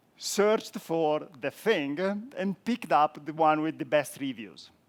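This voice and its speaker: A man with an Italian accent, fairly high in pitch, with lively intonation and a dry, close sound with no echo. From Italy. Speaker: software architect, conference speaker. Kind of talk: conference talk.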